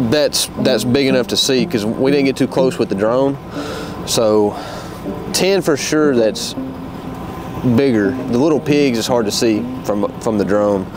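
Music sounds in the background as a man speaks with ordinary pitch variation. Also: dry sound with no echo. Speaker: hunting guide. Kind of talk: briefing explanation to camera. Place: open country.

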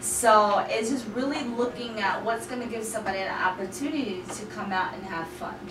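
Over noticeable background noise, a woman with an American accent talks fairly quickly at a fairly high pitch, with ordinary pitch variation, big swings in loudness and hardly any pauses. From US military family, raised partly in Germany, long in Washington DC. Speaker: meetup group organizer and event planner. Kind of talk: interview conversation.

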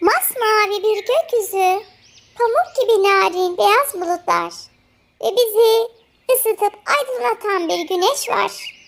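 Putting on a character voice, a woman speaks at a fairly slow pace with an extremely high pitch and ordinary pitch variation. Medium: read story.

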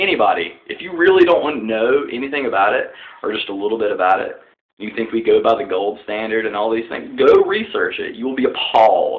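Speaking in a strong Southern US accent, a man talks at a fairly quick pace. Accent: deep Southern US. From Southern United States. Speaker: political vlogger. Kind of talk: casual political talk to camera. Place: home room. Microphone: webcam.

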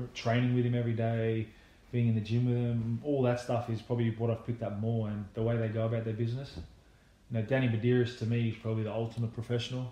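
With an Australian accent, a man at medium pitch talks very fast in a flat monotone. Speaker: retired rugby league player. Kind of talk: casual chat.

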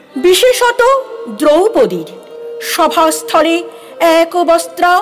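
Over clear background music, a woman does a put-on character voice at an extremely high pitch and a fairly slow pace. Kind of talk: audio drama.

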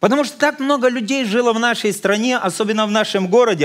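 The surroundings are quiet. The voice belongs to a man. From Ukraine, Odesa; Ukraine. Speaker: visiting pastor. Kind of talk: sermon. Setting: church. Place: church.

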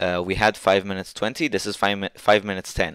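A man with a non-native accent at a moderate pace, fairly low in pitch and fairly even in intonation, dry and close with no echo on a very clean recording with a silent background. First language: not English. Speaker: 3D printing hobbyist YouTuber. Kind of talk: tutorial screen-share walkthrough. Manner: hesitant, many filler words.

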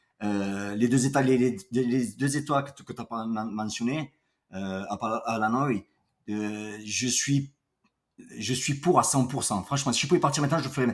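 Here a man with an unremarkable speaking voice and medium pitch goes at a fairly slow pace. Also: ordinary pitch variation, very clean recording, silent background. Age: 50s. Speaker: entrepreneur, boxing coach. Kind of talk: casual chat.

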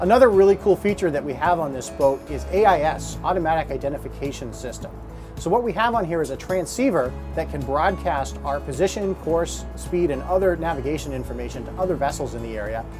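Speech at a fairly quick pace runs over clear music in the background. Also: man. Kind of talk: product demonstration. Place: boat.

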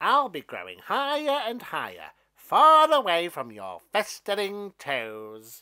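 In a put-on character voice, a man speaks slowly at a high pitch, with very wide pitch swings and a bright, sharp tone.

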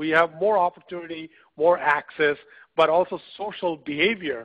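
A man is speaking here. He has an unremarkable speaking voice. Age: 40s. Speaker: entrepreneur and author. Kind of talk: webinar interview. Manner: frequent fillers and repetitions.

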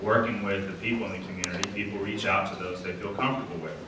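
Amid noticeable background noise and audible room echo, a man speaks at a fairly low pitch with fairly even intonation. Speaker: city council member and candidate. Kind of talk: candidate debate speech. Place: hall.

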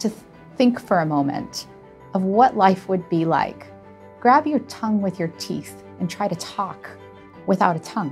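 Over faint background music, a woman with a medium pitch speaks at a moderate pace with lively intonation. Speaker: speech language pathologist. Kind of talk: interview answer. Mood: warm, admiring. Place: office.

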